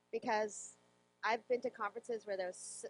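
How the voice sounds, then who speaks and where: A woman with an unremarkable speaking voice talks at a fairly quick pace and medium pitch. Her intonation is fairly even, and the sound is dry and close with no echo. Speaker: software developer and conference speaker. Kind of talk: interview.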